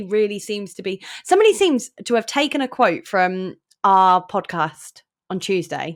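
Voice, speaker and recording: Lively intonation carries an English accent. The recording is very clean, with a silent background. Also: woman. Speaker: podcast co-host. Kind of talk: casual chat.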